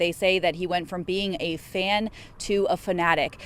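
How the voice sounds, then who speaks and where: Using a plain, everyday voice, a woman talks at a moderate speed with a medium pitch. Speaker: TV news reporter. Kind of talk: TV news field report.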